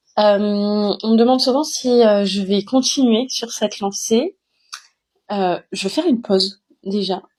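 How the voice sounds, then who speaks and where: A woman's fairly high, somewhat breathy voice at a fairly slow pace, with ordinary pitch variation. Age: 30s. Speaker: author. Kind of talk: casual self-introduction vlog. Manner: hesitant, many filler sounds.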